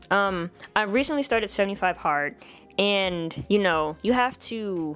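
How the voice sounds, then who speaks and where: A woman's intonation is lively. Behind her, music can be heard. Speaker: vlogger. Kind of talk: casual vlog monologue. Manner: fast.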